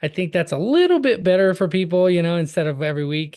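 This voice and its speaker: A man with an American accent, talking at a fairly quick pace over a quiet background. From California. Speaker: process server business coach. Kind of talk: live webinar training. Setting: video call with screen share. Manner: fast; casual, filler-heavy.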